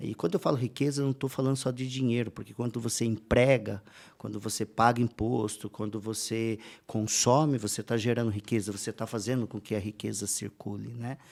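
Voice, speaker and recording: A man's unremarkable speaking voice at medium pitch, fairly quick and fairly even in intonation, on a very clean recording with a silent background. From interior of São Paulo state, Brazil. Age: 40s. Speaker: entrepreneur and speaker. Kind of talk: podcast interview. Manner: casual, with frequent fillers.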